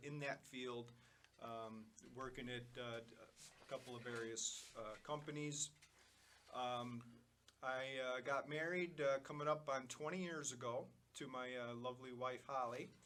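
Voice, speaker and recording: Speaking in a Chicago accent, a man with a medium pitch keeps a fairly slow pace and fairly even intonation. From Chicago, south side. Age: 50s. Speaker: cancer patient, electrical engineer. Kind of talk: interview, personal story. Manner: halting, many fillers.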